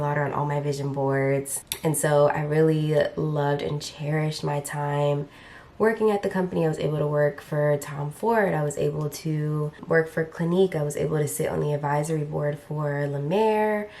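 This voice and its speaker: Noticeable background noise runs under the clip. A woman with a very deep, low pitch speaks at a fairly quick pace with ordinary pitch variation. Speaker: beauty content creator. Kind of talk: casual chat.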